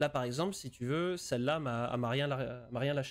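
Speaking at a moderate pace, a man uses a medium pitch with fairly even intonation. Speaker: gaming streamer. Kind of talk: live game commentary and tutorial. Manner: hesitant, many repeated words. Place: home room.

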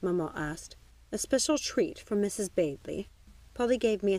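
A natural reading voice carries lively intonation from start to finish.

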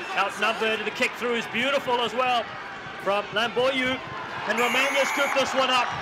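A man with an extremely high pitch projects his voice in an animated tone at a fairly quick pace, his loudness very even over noticeable background noise. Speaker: commentator. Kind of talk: live sports commentary. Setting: stadium commentary over match footage. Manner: animated, excitable, fast-paced play-by-play.

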